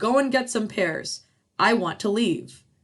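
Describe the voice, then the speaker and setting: A put-on character voice that sounds female growls at a fairly slow pace with fairly high pitch. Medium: read story. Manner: brusque, impatient.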